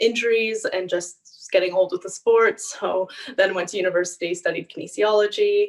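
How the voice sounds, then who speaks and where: Using an ordinary speaking voice, a woman talks at a fairly quick pace with fairly even intonation. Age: 20s. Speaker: kinesiologist and online fitness coach. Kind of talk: interview.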